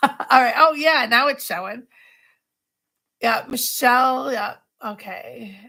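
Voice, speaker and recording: A woman with an American accent speaks in a raised, projected, high voice with ordinary pitch variation and big swings in loudness. Her pace is very slow, with long, frequent pauses. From US Northeast, Long Island, New York. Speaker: craft tutor. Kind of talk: live craft tutorial. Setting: livestream at home. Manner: talkative, constant chatter.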